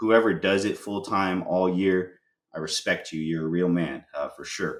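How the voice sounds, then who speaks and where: At a fairly slow pace, a man speaks in a very deep, low pitch with ordinary pitch variation. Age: 30s. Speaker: spray foam contractor, business owner. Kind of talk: podcast interview. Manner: casual, many fillers and repeats.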